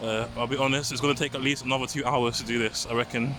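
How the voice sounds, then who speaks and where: With a London accent, a man of medium pitch speaks at a fairly quick pace in a monotone, flat intonation over noticeable background noise. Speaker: walking vlogger. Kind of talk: walking vlog narration. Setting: outdoors. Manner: fast; stutter, sighs.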